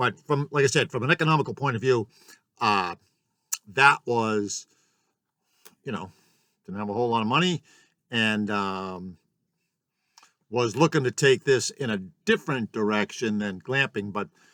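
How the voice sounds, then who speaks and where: With long, frequent pauses, a man of medium pitch speaks at a moderate pace with ordinary pitch variation and a bright, sharp tone, the sound dry and close with no echo. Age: 60s. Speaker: small business owner, yurt glamping host. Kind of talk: casual vlog monologue. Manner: halting, many filler words.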